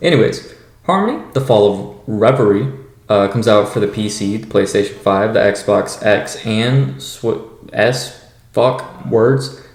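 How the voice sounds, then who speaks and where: A man at medium pitch is mumbling. The room echo is audible and background noise is noticeable. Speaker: gaming podcast host. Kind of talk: casual podcast chat. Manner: halting, many fillers.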